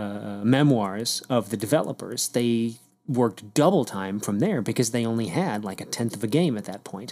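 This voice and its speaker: A man speaks at a moderate pace in a medium pitch with a dark, mellow tone. The recording is very clean, with a silent background. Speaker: podcast host. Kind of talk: casual chat. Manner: rambling, filler-heavy.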